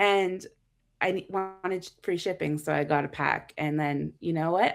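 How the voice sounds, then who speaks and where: A woman with a Canadian accent speaks at a moderate pace in a fairly low pitch with ordinary pitch variation and an unremarkable speaking voice. The recording is very clean, with a silent background. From Canada. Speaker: content creator, card game player. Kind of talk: casual interview chat.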